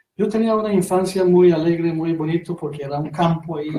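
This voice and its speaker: With a non-native accent, a man speaks at a fairly high pitch in a dark, mellow tone. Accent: foreign accent in Spanish. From Iran, Golestan province. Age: 30s. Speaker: interview guest. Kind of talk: radio interview. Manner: halting, many fillers.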